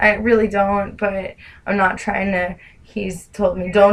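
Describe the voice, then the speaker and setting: Someone talks at a fairly slow pace with a New Jersey accent. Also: woman. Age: 20s. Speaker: caller. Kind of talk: phone call. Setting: phone call.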